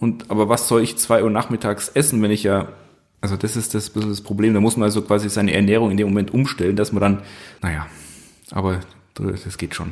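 A man's fairly low, fairly even voice at a fairly quick pace, with long, frequent pauses, on a very clean recording with a silent background. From Upper Bavaria, Germany. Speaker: carpenter. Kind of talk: casual chat.

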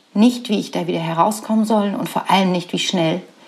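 A woman with a normal speaking voice talks at a fairly quick pace, at a medium pitch with ordinary pitch variation. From Saxony, eastern Germany (Radeberg near Dresden). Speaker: podcast host and business coach. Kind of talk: personal storytelling monologue.

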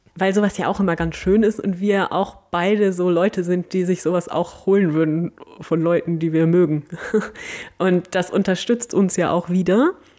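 A woman in an unremarkable speaking voice, medium pitch, moderate pace, very even loudness and fairly even intonation. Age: 40s. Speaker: podcast host, museum volunteer coordinator. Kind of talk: casual Q&A chat.

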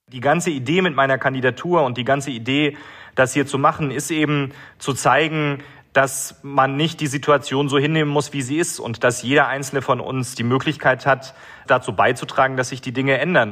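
A man's fairly high-pitched voice with a bright, sharp tone at a moderate pace. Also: fairly even intonation. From Germany, Baden-Württemberg. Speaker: mayor. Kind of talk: interview.

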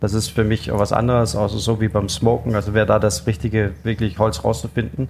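A man speaks fairly quickly in a fairly low, somewhat breathy voice, with hardly any pauses. His loudness stays very even and his intonation fairly even. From Denmark. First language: Danish (speaking German). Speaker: chef. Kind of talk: interview. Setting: food festival.

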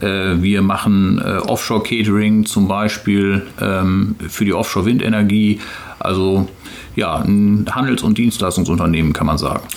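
A man's fairly low voice at a fairly slow pace, with fairly even intonation, very even loudness, and noticeable background noise. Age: 40s. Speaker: company executive. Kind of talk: interview. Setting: company office near harbour. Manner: halting, many filler sounds.

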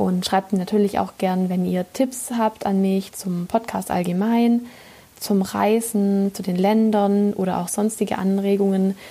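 Somewhat breathy and dark, mellow in tone, a woman speaks at a fairly slow pace with monotone, flat intonation. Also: medium pitch for a woman. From southern Germany. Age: 20s. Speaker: podcast host. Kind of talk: monologue. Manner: hesitant, many fillers.

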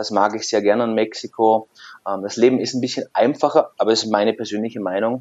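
Very fast speech from a man at a medium pitch, with fairly even intonation. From southern Germany, Lake Constance / Lindau area. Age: 30s. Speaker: personal trainer studio owner and scientist. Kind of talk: casual interview.

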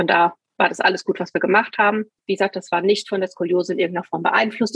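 Very fast speech from a woman, with a dry, close sound and no echo. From Hesse, Germany (Taunusstein near Wiesbaden). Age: 50s. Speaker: scoliosis patient. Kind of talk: interview testimony.

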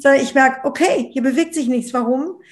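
Her voice sits high. The woman's pitch rises and falls in an ordinary way. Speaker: bestselling author on love and relationships. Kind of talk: interview conversation.

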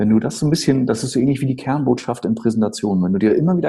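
Ordinary pitch variation marks a voice with a dark, mellow tone. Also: man. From northern Germany, Schleswig-Holstein (Eutin area). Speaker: storytelling speaker and sales trainer. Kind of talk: interview. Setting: video call.

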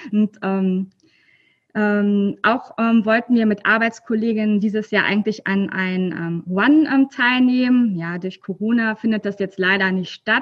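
Speaking at a fairly slow pace, a woman with a fairly high pitch and a somewhat breathy voice shows ordinary pitch variation. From Rhineland, near Cologne, Germany. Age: 30s. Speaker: library worker sharing her weight-loss story. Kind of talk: casual interview. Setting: video call from her workplace library. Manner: hesitant, many filler sounds.

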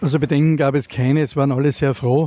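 This man's dark, mellow voice keeps a fairly even intonation. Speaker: mayor. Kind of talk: interview.

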